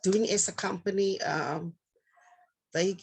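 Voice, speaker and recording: Intonation remains fairly even here. The delivery is very slow. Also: woman. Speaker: children's home caregiver. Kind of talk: interview. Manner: halting, hesitant.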